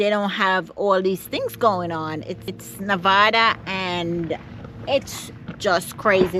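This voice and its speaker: A woman speaks at medium pitch with a Caribbean accent. Noticeable background noise can be heard. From Jamaica. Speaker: vlogger. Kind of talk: vlog to camera. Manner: halting.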